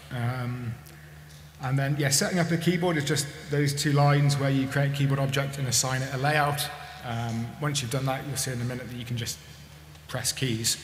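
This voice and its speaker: Audible room echo and light background noise surround a man speaking at a moderate pace in a fairly high pitch, with fairly even intonation. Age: 40s. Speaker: maker giving a conference talk; conference speaker. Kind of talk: conference talk. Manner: hesitant, with many fillers. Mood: relaxed, friendly. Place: hall. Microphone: podium.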